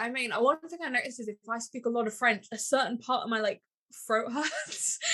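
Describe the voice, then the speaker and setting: Projecting a raised voice, a woman speaks with a bright, sharp tone, high in pitch and ordinary in pitch variation. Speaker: podcast co-host. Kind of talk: casual chat.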